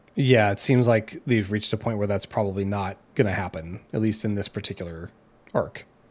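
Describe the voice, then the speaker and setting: A man talks at a fairly quick pace in a plain, everyday voice, with fairly even intonation and a fairly low pitch. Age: 30s. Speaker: podcast host. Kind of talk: casual chat. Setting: remote recording over the internet.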